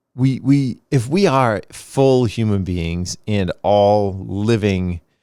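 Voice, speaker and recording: In an American accent, a man speaks with a fairly low pitch and lively intonation. The recording is very clean, with a silent background. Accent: Boston accent, slight, slips occasionally. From Boston, US. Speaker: podcast host. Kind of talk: reflective monologue.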